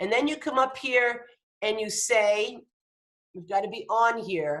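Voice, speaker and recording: Fairly high female voice, fairly slow, with ordinary pitch variation and big swings in loudness. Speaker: design instructor. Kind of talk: tutorial. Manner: halting.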